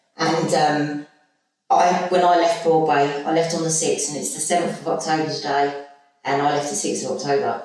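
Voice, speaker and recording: A woman's very deep, low voice at a moderate pace, with music in the background. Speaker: recovering alcoholic, former rehab resident. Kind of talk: testimony in podcast interview. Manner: loud; animated.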